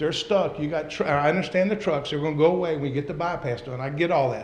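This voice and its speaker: Audible room echo follows a man as he talks. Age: 60s. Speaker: local investor speaking at a city council meeting. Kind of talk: public comment. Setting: city council meeting. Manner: animated.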